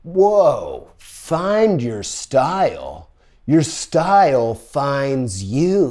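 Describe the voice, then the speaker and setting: Putting on a character voice with a Californian accent, a man speaks very slowly in a high pitch, swinging it very widely. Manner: mystical, laid-back.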